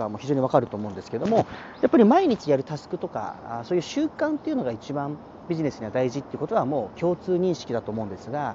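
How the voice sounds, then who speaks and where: This man talks at a very fast pace, his pitch swinging very widely. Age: 30s. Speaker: chiropractor and personal trainer. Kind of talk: solo podcast monologue.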